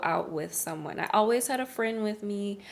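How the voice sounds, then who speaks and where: An American-accented woman speaks with a fairly high pitch. The recording is very clean with a silent background. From US South, New Orleans, Louisiana. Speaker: lifestyle and spiritual coach. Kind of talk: casual vlog talk. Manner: conversational with many fillers.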